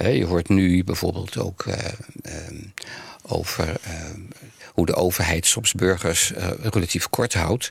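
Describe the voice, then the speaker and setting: Very slowly and somewhat breathily, a man speaks at a very deep, low pitch with ordinary pitch variation. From Netherlands, Amsterdam (born The Hague). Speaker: spiritual care coordinator, narrative theologian. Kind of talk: interview conversation. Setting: studio. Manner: halting, many fillers.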